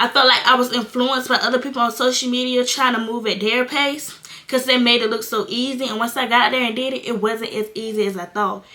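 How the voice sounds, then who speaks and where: Over noticeable background noise, a woman with an American accent talks very fast in a high voice with fairly even intonation. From North Carolina. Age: 20s. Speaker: content creator, young mother. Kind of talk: casual talk to camera. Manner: candid, casual.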